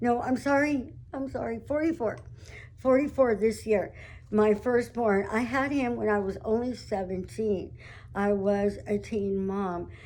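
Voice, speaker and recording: The speaker has an American accent and talks at a fairly slow pace with ordinary pitch variation. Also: woman, fairly high pitch for a woman. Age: 60s. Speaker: vlogger sharing life story. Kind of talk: personal testimony monologue. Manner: casual, hesitant with many fillers.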